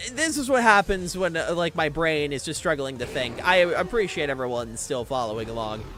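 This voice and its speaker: An animated man with a fairly high voice speaks at a fairly quick pace with hardly any pauses and very wide pitch swings. Noticeable background noise runs underneath. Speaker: vtuber streamer and tournament caster. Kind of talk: live game commentary. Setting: livestream. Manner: stuttering.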